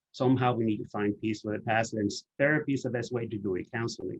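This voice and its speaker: A man's ordinary speaking voice at a medium pitch and a fairly quick pace. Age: 60s. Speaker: HIV activist and author presenting. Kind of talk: webinar presentation.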